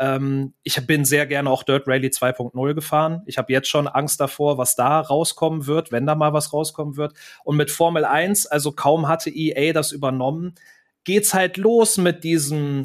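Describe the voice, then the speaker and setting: A man's normal speaking voice, fairly high in pitch with ordinary variation, at a moderate pace over a very clean recording with a silent background. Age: 30s. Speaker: YouTuber. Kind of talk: casual chat.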